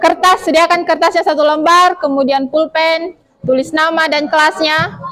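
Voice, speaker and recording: At a moderate pace, a woman with an extremely high pitch speaks with fairly even intonation and very even loudness. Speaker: teacher. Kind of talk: classroom lesson. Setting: classroom.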